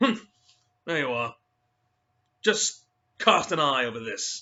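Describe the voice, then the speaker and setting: A man puts on a gruff, raspy character voice pitched fairly high. He talks at a fairly slow pace with very wide pitch swings. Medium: read story. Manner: gruff, grunting.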